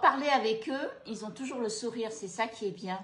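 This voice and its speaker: A woman's somewhat breathy voice keeps a moderate pace and ordinary pitch variation. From Cambodia, moved to France at 13. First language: Khmer (speaking French). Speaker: food and travel vlogger. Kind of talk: casual chat. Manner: hesitant, many fillers.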